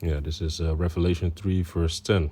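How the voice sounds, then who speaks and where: In a Dutch accent, a man with a very deep, low pitch and a dark, mellow tone speaks somewhat breathily in a monotone, flat way at a fairly quick pace. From Netherlands. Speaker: religious teacher. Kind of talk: religious commentary. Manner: halting, many fillers.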